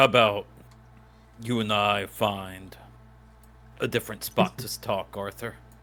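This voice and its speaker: In a put-on character voice, a man speaks with fairly low pitch and monotone, flat intonation at a fairly slow pace, with big swings in loudness and long, frequent pauses. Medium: actual play. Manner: curt, commanding.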